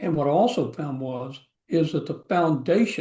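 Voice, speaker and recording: At a fairly slow pace, a man talks in a fairly high pitch with a somewhat breathy voice and ordinary pitch variation. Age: 70s. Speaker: course participant. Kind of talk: testimony.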